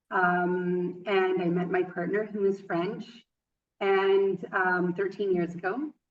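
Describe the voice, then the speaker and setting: A woman with a western Canadian accent talks very slowly at a medium pitch, her intonation monotone and flat. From western Canada. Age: 30s. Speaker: yoga teacher. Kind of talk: interview. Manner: halting, many fillers.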